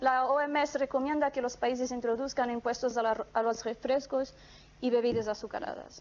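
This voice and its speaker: This woman has a high pitch, a non-native accent and fairly even intonation. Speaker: economics researcher. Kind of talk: academic conference presentation. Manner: reading from script, halting with fillers.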